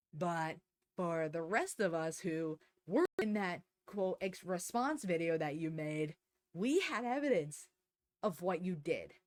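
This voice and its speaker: A woman's fairly low, fairly slow voice with ordinary pitch variation and a dry, close sound with no echo. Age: 20s. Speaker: vtuber commentator. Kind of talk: angry callout rant. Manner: heated, unfiltered.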